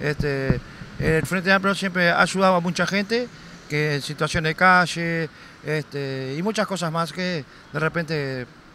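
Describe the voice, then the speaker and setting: A man with a Uruguayan accent speaks at a high pitch in a bright, sharp tone with fairly even intonation, in a dry sound with no echo and light background noise. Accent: Rioplatense Spanish (Uruguayan). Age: 40s. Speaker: passer-by interviewee; interviewee. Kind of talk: street interview; interview answer. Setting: outdoors in a city square. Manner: halting, many fillers. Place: street. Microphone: handheld.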